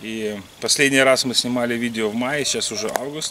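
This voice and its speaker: Light background noise sits behind speech at a moderate pace with fairly even intonation. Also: man. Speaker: wrestling coach. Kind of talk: casual vlog intro. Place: forest. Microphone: camera far.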